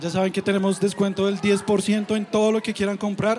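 Over noticeable background noise, a man with a high voice talks at a moderate pace. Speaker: podcast host. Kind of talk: live show hosting. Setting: stage with audience.

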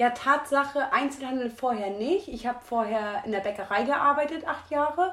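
Hardly any pauses break up this woman's speech. Her pitch is high, with ordinary pitch variation. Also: moderate pace. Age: 20s. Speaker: retail worker and podcast co-host. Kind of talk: casual chat.

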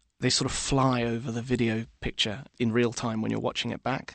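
With a British accent, a man talks at a moderate pace. His pitch sits in the medium range. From Britain. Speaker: music journalist. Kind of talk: interview.

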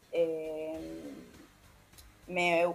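A woman with a Montevideo accent. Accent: Uruguayan Spanish (Montevideo). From Uruguay, Montevideo. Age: 20s. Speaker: singer-songwriter. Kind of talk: interview. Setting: remote call.

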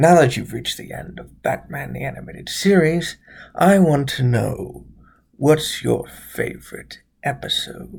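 A put-on character voice at a moderate pace. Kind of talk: horror-movie parody. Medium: game stream. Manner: menacing, slow, theatrical.

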